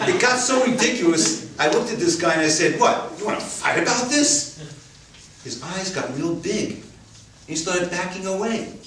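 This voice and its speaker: A man with an American accent, high-pitched, with very wide pitch swings at a moderate pace, amid noticeable background noise and audible room echo. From New York City (Queens). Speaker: storyteller. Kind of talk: stage storytelling.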